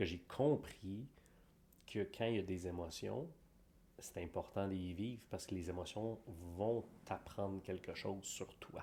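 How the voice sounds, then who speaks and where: A man speaks in a fairly low voice with a dark, mellow tone and ordinary pitch variation. His pace is fairly slow, with long, frequent pauses. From Quebec. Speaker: podcast co-host. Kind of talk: casual chat.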